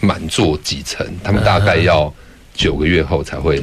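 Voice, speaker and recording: A man's very deep, low voice keeps a moderate pace and ordinary pitch variation amid noticeable background noise. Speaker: theatre director. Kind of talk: interview. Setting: studio.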